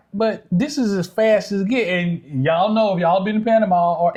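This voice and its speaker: The pace is fairly quick. A man talks high in pitch with ordinary pitch variation. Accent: Southern US. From Southern United States. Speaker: expat living in Panama. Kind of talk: casual, country dialect.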